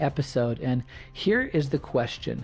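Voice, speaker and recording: A man speaks with music playing in the background. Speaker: podcast host. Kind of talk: solo podcast monologue.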